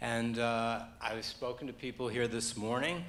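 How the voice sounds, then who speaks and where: In a room with audible echo and noticeable background noise, a man talks at a moderate pace and medium pitch. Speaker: audience member asking a question. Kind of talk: audience question.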